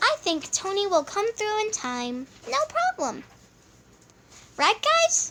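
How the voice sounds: An extremely high-pitched cartoonish character voice from a woman, bright and sharp, slow, with very wide pitch swings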